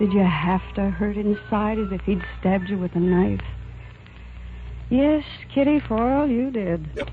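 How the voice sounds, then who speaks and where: A woman talks with long, frequent pauses while music plays in the background. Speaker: actress playing the lead character in a dramatized film. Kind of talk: radio drama, acted dialogue.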